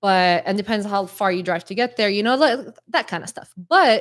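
A woman with a normal speaking voice, medium in pitch, with lively intonation and a fairly quick pace, on a very clean recording against a silent background. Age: 30s. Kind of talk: casual chat.

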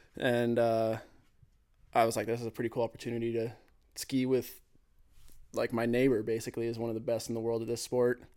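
A man's medium-pitched voice with a dark, mellow tone, very fast pace, monotone, flat intonation and long, frequent pauses. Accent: American. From California, US. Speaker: ski cross racer. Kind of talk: casual chat.

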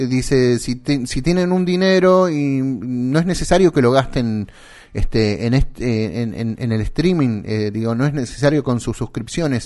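A man with a Rioplatense accent speaks in a medium pitch against a quiet background. His voice makes very wide pitch swings. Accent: Argentine Rioplatense Spanish. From Santa Fe, Argentina. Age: 40s. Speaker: podcast co-host. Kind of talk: casual chat. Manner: hesitant, many filler words.

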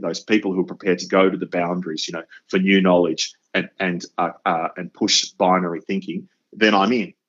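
A man with an Australian accent, very deep and low in pitch, fairly even in intonation, at a moderate pace. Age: 50s. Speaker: educator and podcast host. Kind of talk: interview.

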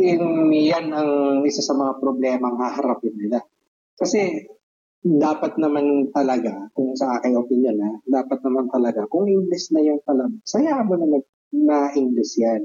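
A man speaks in a plain, everyday voice, fairly high in pitch and fairly slow, with very even loudness and ordinary pitch variation. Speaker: podcast co-host. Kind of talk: casual chat.

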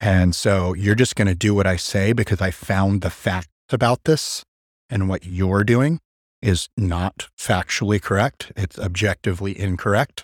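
At a fairly slow pace, a man with a fairly low pitch and ordinary pitch variation talks in an unremarkable speaking voice, captured dry and close with no echo on a very clean recording with a silent background. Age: 30s. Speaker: gym owner and personal trainer. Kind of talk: casual chat.

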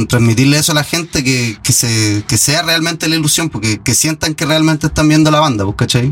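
Against noticeable background noise, a man with a Chilean accent speaks with ordinary pitch variation. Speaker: guitarist in a tribute band. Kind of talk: casual interview.

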